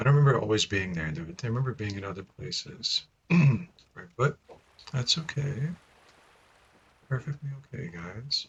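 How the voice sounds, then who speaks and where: Very wide pitch swings and big swings in loudness, with vocal fry, a moderate pace, and long, frequent pauses. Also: man, medium pitch for a man. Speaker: video game streamer. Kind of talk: live gameplay commentary. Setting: live stream.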